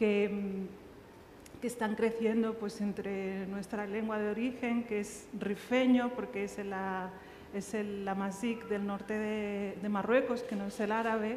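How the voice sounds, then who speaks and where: A woman talks at a fairly slow pace and a medium pitch in a monotone, flat intonation, with noticeable background noise and audible room echo. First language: Riffian Berber (Tamazight) (speaking Spanish). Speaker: writer. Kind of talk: panel discussion. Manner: halting.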